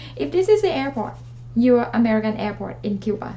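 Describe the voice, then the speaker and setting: There is noticeable background noise. A woman speaks with a Thai accent. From Thailand. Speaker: travel vlogger. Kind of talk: tutorial. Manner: hesitant, with many fillers.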